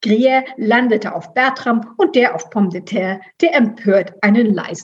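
A natural reading voice, its pitch varying ordinarily

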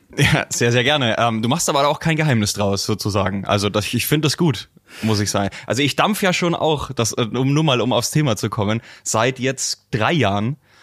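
With a Franconian accent, the speaker keeps a moderate pace, very even loudness and lively intonation. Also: man, medium pitch for a man. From Franconia, Germany. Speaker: podcast host. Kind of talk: interview.

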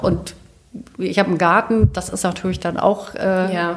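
Against noticeable background noise, a woman talks at medium pitch and a fairly quick pace. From northern Germany, Lower Saxony (Celle). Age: 50s. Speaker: interior and architecture journalist. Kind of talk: casual interview. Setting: at home in her kitchen.

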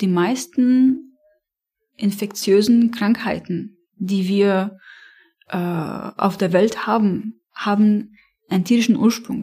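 A woman with a medium pitch and a dark, mellow, somewhat breathy tone speaks at a very slow pace with long, frequent pauses. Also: fairly even intonation. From Lebanon, Beirut. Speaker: animal welfare campaigner. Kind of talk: interview.

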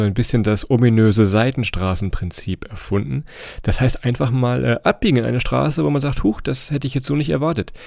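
The pace is very fast. The intonation is lively. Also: man. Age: 30s. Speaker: travel podcaster. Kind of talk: casual interview.

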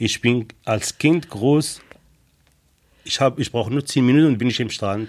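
A man's medium-pitched voice at a moderate pace, with ordinary pitch variation and long, frequent pauses. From Morocco. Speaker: lifeguard and trained baker. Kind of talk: interview. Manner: halting.

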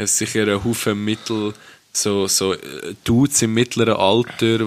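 There is noticeable background noise behind a man whose pitch sits fairly low. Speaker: podcast co-host. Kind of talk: casual chat.

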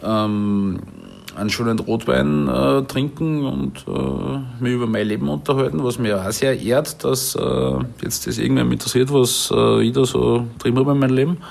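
With a Salzburg accent, a man speaks in a fairly low pitch that swings very widely. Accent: Salzburg Austrian. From Salzburg, Austria. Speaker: chef and café owner. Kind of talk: casual interview. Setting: at home in his apartment.

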